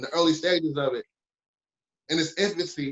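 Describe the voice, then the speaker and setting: This man has a Detroit accent. His pitch is fairly high, with ordinary pitch variation. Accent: Detroit east side, brash way of talking. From Detroit, east side. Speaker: podcast network founder. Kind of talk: casual podcast chat. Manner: brash.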